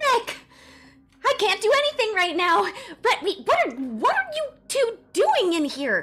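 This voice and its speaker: A put-on character voice at an extremely high pitch, with very wide pitch swings and music in the background. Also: fairly slow pace. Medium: actual play. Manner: energetic, stammering.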